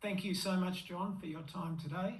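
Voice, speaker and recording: There is audible room echo and noticeable background noise as a man speaks with an Australian accent. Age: 60s. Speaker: masters runner and vlogger. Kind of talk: interview.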